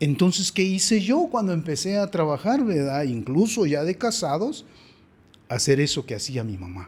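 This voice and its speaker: Over a silent background in a very clean recording, a high-pitched man speaks at a moderate pace with very wide pitch swings. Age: 60s. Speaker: father of the host. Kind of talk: interview.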